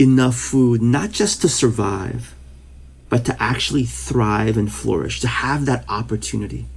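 This man's voice is somewhat breathy and moves through very wide pitch swings. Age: 50s. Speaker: pastor. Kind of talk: casual interview.

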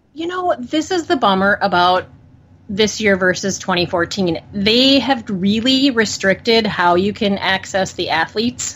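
A woman's unremarkable speaking voice, an unremarkable speaking voice at medium pitch, with lively intonation and a fairly slow pace. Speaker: podcaster. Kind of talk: casual chat about football.

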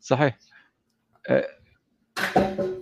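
A very slow pace in a dry, close sound with no echo. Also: man. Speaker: call-in participant. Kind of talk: call-in discussion. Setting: video call. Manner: halting, many repetitions and fillers.

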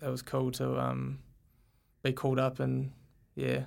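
A man speaks with a New Zealand accent. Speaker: field hockey player. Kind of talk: casual interview. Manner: hesitant, many fillers.

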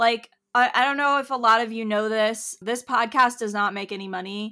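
Bright and sharp in tone, a woman speaks at a moderate pace with a fairly high pitch and ordinary pitch variation. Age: 20s. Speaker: podcast host and artist. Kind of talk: solo podcast monologue. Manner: casual, chatty with frequent fillers; laughs often.

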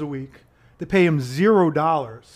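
This man has a normal speaking voice with a fairly high pitch. His pitch varies in an ordinary way. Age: 40s. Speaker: activist and finance company owner. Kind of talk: casual interview.

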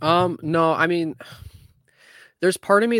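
Here a man talks at a moderate pace. The recording is very clean, with a silent background. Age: 20s. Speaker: hockey podcast co-host. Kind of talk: casual chat.

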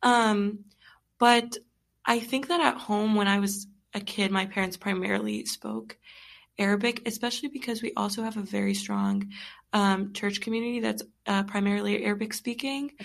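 In a normal speaking voice, a woman talks at a moderate pace and medium pitch with fairly even intonation over a quiet background. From US, Egyptian immigrant family. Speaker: bilingual guest. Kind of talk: casual interview.

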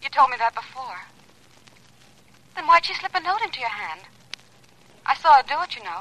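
A woman puts on a character voice, high-pitched with a bright, sharp tone, swinging widely in pitch at a moderate pace.

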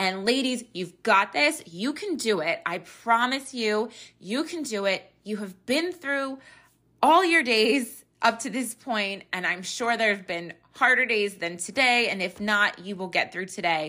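A woman with an ordinary speaking voice, fairly high in pitch with lively intonation, at a fairly slow pace on a very clean recording with a silent background. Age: 30s. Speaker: podcast host, mother of three. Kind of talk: casual encouraging monologue. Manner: chatty, laughs often.

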